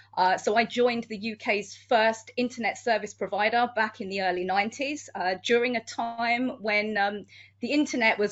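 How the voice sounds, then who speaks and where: A woman speaks with a British accent at a moderate pace. Her pitch sits fairly high and her intonation stays fairly even. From United Kingdom. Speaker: security manager and criminologist. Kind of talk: panel discussion.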